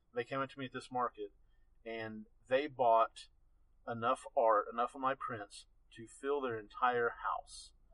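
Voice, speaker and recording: An Appalachian accent at a fairly slow pace with long, frequent pauses, in a dry, close sound with no echo. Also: man, big swings in loudness. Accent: Appalachian Southern US. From Western North Carolina. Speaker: landscape photographer. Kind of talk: interview.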